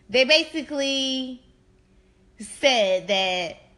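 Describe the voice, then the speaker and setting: A woman speaks with very wide swings in pitch. Her tone is animated. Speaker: podcast host. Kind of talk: casual chat.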